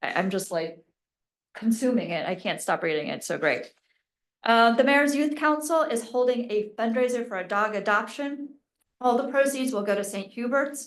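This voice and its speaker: A plain, everyday voice from a woman, fairly high in pitch, with lively intonation at a moderate pace. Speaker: mayor. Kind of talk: council meeting announcements. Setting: township council meeting.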